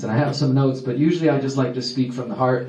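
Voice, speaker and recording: A Texas accent with noticeable background noise and audible room echo. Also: man. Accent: American, Texas. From Texas, Houston. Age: 30s. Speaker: activist speaker. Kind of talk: public talk. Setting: stage with audience. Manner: fast when excited.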